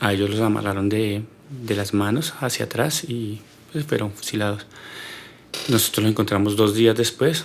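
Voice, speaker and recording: A man talks at a moderate pace with ordinary pitch variation and long, frequent pauses. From Colombia, Neiva, Huila. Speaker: podcast guest. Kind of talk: personal life story interview. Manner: hesitant, many fillers and repetitions.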